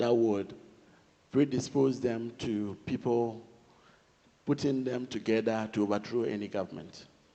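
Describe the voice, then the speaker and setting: A man with a Ghanaian accent, medium pitch, a dark, mellow tone, fairly even intonation, and a moderate pace. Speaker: government official. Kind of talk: panel discussion. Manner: formal.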